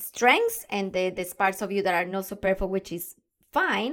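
A woman talks at a moderate pace, recorded very cleanly against a silent background. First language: not English. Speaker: podcast host, confidence and communication coach. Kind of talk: solo podcast monologue. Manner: enthusiastic.

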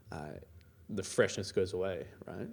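This man has an Australian accent and a dark, mellow tone. He talks at a moderate pace. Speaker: iOS engineer and conference organiser. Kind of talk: interview.

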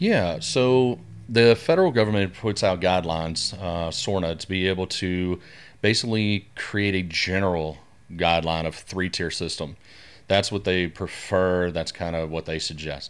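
Very deep and low in pitch, a man with a Southern US accent speaks at a moderate pace with ordinary pitch variation in a very clean recording with a silent background. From US South, northwest Louisiana. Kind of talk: podcast interview.

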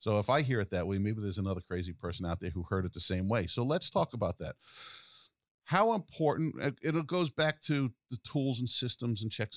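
A man with a New York accent talks at a very fast pace, his intonation lively. The recording is very clean and dry, close with no echo, over a silent background. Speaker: podcast host. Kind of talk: casual interview.

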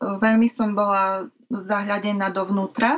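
This woman talks in a medium pitch with monotone, flat intonation. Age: 30s. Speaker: mental health peer consultant. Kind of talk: interview. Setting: video call.

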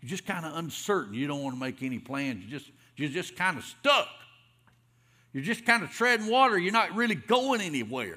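In a Southern US accent, a high-pitched man talks at a fairly quick pace with a bright, sharp tone and very wide pitch swings. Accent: Southern US (Georgia). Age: 50s. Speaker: pastor. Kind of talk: sermon. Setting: church.

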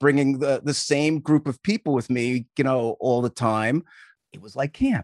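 A man with an American accent speaks in a plain, everyday voice at medium pitch and a fairly quick pace, the sound dry and close with no echo and the background quiet. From US Northeast (Long Island, New York). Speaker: youth sports coach and camp founder. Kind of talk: casual interview chat.

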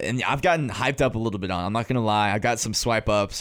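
He talks very fast. The man speaks with an American accent. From North Carolina. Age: 20s. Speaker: student podcast host. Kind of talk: casual chat. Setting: studio.

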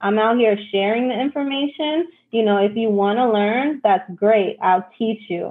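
This woman has a New York accent and a fairly high pitch. Her pitch varies in an ordinary way. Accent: New York City. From New York City (Brooklyn, East Harlem). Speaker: forex trader and team recruiter. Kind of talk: casual interview chat.

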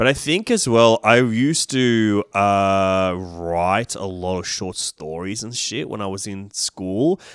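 In an Australian accent, a man with a fairly low voice speaks at a very slow pace, his loudness swinging widely, in a dry, close recording with no echo and a very clean, silent background. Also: ordinary pitch variation, hardly any pauses. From Sydney, inner west. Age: 30s. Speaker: comedian and film critic. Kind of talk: casual chat.

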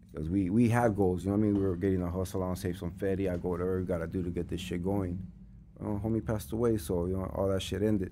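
Amid audible room echo, a man with an American accent speaks at a very fast pace in a very deep, low pitch with a dark, mellow tone and fairly even intonation. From Los Angeles, North Hollywood. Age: 40s. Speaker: music manager. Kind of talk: casual interview chat.

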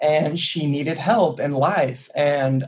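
His voice is somewhat breathy and fairly high in pitch. He is a man with an American accent. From US South, Chattanooga, Tennessee. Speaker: startup co-founder. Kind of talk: casual interview chat. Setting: remote call.

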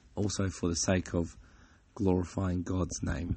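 A man's very deep, low voice comes across somewhat breathy. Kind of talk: devotional talk. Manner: halting, with fillers.

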